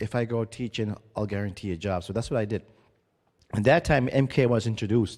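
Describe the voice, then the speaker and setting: A man's fairly low, dark, mellow voice at a fairly quick pace, with fairly even intonation, on a very clean recording with a silent background. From Mi'kmaq reserve community, Atlantic Canada. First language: Mi'kmaq. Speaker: First Nations community leader and education chairman. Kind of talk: conference presentation. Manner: halting, with frequent restarts.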